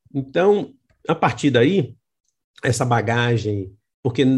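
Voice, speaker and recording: Against a quiet background, a man with a medium pitch and a somewhat breathy voice speaks at a very slow pace. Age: 60s. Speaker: author and communication scholar. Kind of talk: interview.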